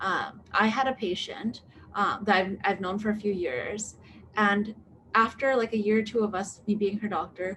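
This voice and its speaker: A woman speaks at a medium pitch with fairly even intonation. Her voice is somewhat breathy. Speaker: medical doctor. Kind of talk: live Q&A. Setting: live online video stream. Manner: fast; hesitant, many fillers.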